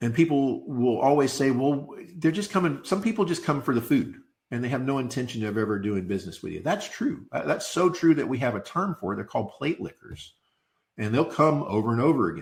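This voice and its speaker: Talking at a fairly quick pace, a man uses a fairly high pitch with very wide pitch swings and vocal fry. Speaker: insurance sales trainer. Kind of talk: training webinar. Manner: fast.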